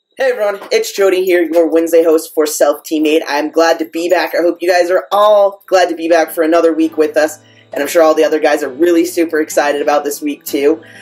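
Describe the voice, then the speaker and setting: A man's high voice, very fast and with hardly any pauses, fairly even in intonation, over music in the background. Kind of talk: casual vlog talk. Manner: casual, many fillers.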